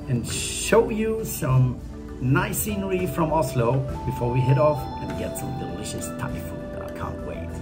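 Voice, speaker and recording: With clear music in the background, a man speaks at a fairly slow pace. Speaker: travel vlogger. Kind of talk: casual vlog chat. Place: home room. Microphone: phone near.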